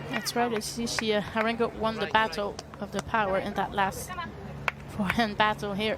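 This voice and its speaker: Over crowd noise and audible room echo, a woman speaks at a moderate pace. Her fairly high voice stays monotone and flat. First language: French. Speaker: tennis commentator. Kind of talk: live commentary.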